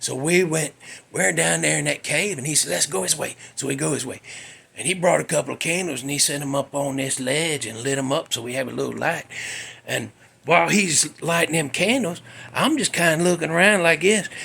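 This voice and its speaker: Noticeable background noise surrounds a man with an American accent. His fairly high voice has lively intonation and moves at a fairly quick pace. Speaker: podcast host. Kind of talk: casual storytelling. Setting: home garage. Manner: less animated than usual.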